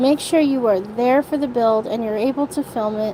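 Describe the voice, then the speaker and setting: A woman's high-pitched voice with lively intonation, over noticeable background noise. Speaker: live streamer. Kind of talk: livestream rant. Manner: halting, repetitive.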